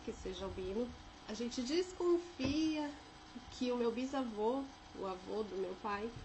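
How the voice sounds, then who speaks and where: A woman with a São Paulo accent speaks in a fairly high pitch, with audible room echo and noticeable background noise. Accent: São Paulo (paulistano). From Brazil, São José dos Campos (São Paulo state interior). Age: 30s. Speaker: vlogger sharing life experience. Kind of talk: personal testimony. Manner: casual, with filler hesitations.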